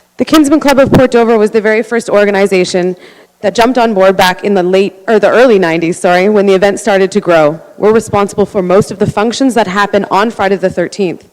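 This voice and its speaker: A woman with a Canadian accent talks very fast with hardly any pauses, at a medium pitch with ordinary pitch variation, over noticeable background noise. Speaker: community volunteer. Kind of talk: council deputation.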